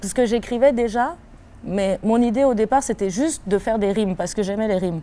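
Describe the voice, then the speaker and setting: Speaking at a moderate pace with a slight West African accent, a woman has a medium pitch, ordinary pitch variation and a dark, mellow tone. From Ivory Coast, then Switzerland. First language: African language (speaking French). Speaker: rapper. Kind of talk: interview. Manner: hesitant, many fillers.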